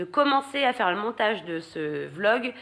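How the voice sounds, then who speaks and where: Her voice sits at a medium pitch for a woman. The audio is very clean, and the background is silent. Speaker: vlogger. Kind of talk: casual vlog talk. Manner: halting, many fillers.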